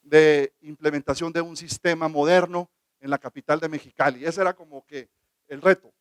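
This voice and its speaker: A man with a high-pitched voice speaks at a fairly quick pace and fairly even intonation, the sound dry and close with no echo. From northern Mexico (Baja California). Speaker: government legal official. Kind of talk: conference talk.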